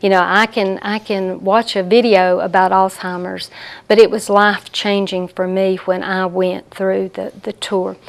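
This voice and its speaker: A woman with a Southern US accent talks at a medium pitch. Her pace is fairly slow and her intonation monotone and flat. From US South. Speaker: hospice support services director. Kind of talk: interview.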